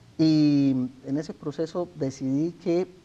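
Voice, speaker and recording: Pitch variation is ordinary. A dark, mellow tone carries the voice. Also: man, quiet background. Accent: Colombian. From Colombia, Santander. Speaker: author interviewed about his imprisonment. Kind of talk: TV interview. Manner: formal.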